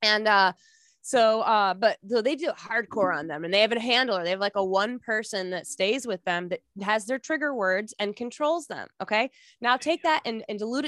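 Recorded very cleanly against a silent background, with a dry, close sound and no echo, a woman with an unremarkable speaking voice talks at a fairly quick pace in a fairly high pitch with lively intonation. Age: 30s. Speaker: memoir author and podcast host. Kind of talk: casual chat.

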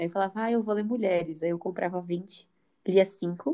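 This woman's voice is dark and mellow, at medium pitch. She keeps a moderate pace with ordinary pitch variation. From Brazil, São Paulo area (São Bernardo do Campo). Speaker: podcast co-host. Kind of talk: casual chat.

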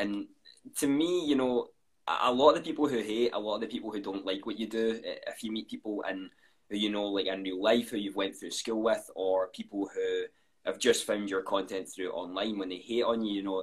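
With a Scottish accent, a man talks at a fairly quick pace. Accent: Scottish, often commented on. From Scotland. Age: 20s. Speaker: content creator. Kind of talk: casual interview. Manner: fast.

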